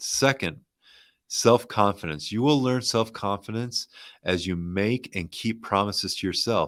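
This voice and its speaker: Talking at a moderate pace, the man has a fairly low pitch and ordinary pitch variation. The recording is very clean, with a silent background. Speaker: ecommerce show host. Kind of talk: casual motivational talk. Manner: soft-spoken.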